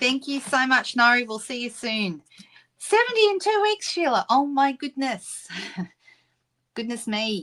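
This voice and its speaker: A woman with an Australian accent, high in pitch with very wide pitch swings, at a fairly slow pace with long, frequent pauses. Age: 60s. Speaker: craft demonstrator. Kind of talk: live-stream craft tutorial and chat. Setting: live stream at craft desk. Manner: casual, frequent filler ums.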